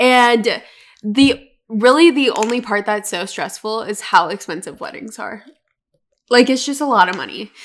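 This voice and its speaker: At a moderate pace, a woman with a normal speaking voice and fairly high pitch talks with ordinary pitch variation and big swings in loudness. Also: very clean recording, silent background. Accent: American. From North Carolina, US. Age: 20s. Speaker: podcast co-host. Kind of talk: casual chat.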